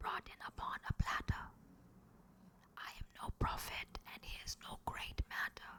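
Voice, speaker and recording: A woman whispers at a fairly slow pace with long, frequent pauses and big swings in loudness. The sound is dry and close, with no echo. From India. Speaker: actress. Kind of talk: poetry reading. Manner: whispered.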